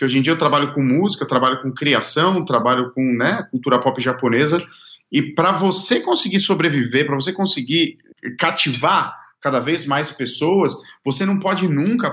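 Here a man talks fairly quickly in a normal speaking voice. His pitch is fairly high and his intonation lively. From Brazil. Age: 30s. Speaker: singer and songwriter. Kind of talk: casual interview.

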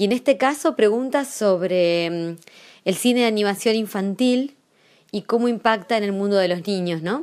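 A plain, everyday voice, spoken at a fairly slow pace with ordinary pitch variation. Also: woman, medium pitch for a woman. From Zapala, Neuquén, Argentina. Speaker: journalist and writer. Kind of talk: prepared commentary.

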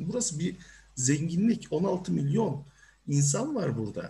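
A man speaks in a high pitch with very wide pitch swings. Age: 40s. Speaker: career coach. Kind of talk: online seminar talk. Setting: video call.

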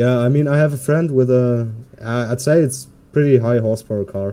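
Using a dark, mellow tone, a man of medium pitch talks at a moderate pace with ordinary pitch variation. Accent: German. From Germany. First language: German. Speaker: podcast guest. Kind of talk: casual chat.

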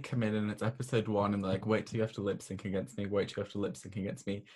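The man's voice sounds somewhat breathy. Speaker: podcast host. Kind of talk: casual chat.

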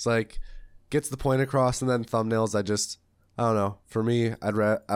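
Speaking with an ordinary speaking voice, a man keeps a moderate pace, a fairly low pitch and fairly even intonation. The sound is dry and close with no echo, on a very clean recording with a silent background. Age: 20s. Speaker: podcast host and speedrunner. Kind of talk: casual chat.

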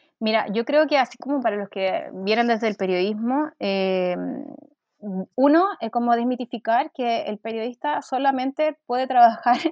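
A woman has a plain, everyday voice and ordinary pitch variation. She speaks at a moderate pace. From Chile, Valparaíso region (Quilpué). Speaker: journalist turned UX content designer. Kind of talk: interview conversation.

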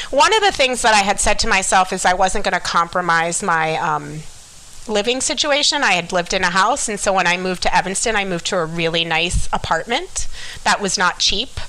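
A woman's lively intonation at a fairly quick pace, with an American accent and noticeable background noise. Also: medium pitch for a woman. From Miami, Florida. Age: 40s. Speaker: school psychologist. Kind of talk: testimony.

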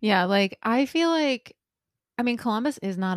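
In an American accent, a woman speaks with very wide pitch swings on a very clean recording with a silent background and a dry, close sound with no echo. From Indiana. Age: 30s. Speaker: podcast co-host. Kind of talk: casual chat. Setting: in person.

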